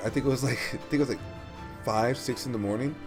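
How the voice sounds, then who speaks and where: A man's pitch varies in an ordinary way while music plays behind him. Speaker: mobile game streamer. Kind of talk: game tutorial talk to viewers. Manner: casual.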